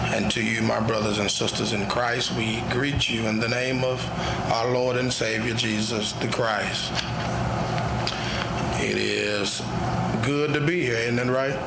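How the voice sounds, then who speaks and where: A man at a fairly slow pace with long, frequent pauses, over loud background noise. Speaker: guest preacher. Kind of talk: sermon greeting. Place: church. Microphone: podium.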